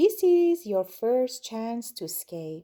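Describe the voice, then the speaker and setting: A put-on character voice, very slow, with very wide pitch swings. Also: woman, fairly high pitch for a woman. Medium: read story. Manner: gloating, menacing.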